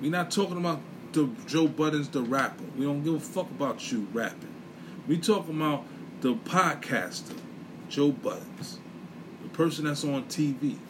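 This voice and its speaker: A man with an American accent speaks at a moderate pace in a fairly high pitch, his intonation lively, with long, frequent pauses and noticeable background noise. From US Northeast, inner city. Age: 40s. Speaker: podcast host. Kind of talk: solo monologue podcast, casual commentary. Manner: animated.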